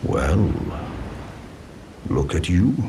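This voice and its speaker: A man's put-on character voice, very deep and low in pitch, with clear background noise. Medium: video game. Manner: courteous, gentle.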